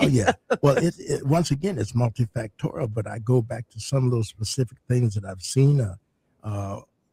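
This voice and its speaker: A man with a medium pitch and a dark, mellow tone speaks somewhat breathily, in a dry, close sound with no echo. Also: ordinary pitch variation, moderate pace. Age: 70s. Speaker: retired doctor and medical teacher. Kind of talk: radio interview. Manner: hesitant with frequent fillers.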